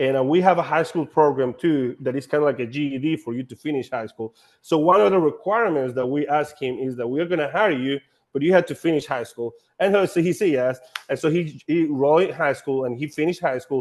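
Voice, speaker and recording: A man with a Honduran accent talks at a very fast pace and a fairly high pitch. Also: ordinary pitch variation. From Honduras. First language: Spanish. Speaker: nonprofit staff running a house-building program. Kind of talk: panel discussion. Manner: halting, with many repeated words.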